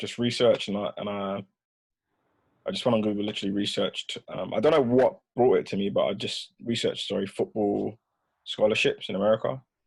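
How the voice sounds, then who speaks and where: Long, frequent pauses break up the speech. The speaker is a man with a British accent. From London, England (Hackney), then Peterborough. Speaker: footballer. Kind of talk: casual chat. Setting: recorded podcast conversation.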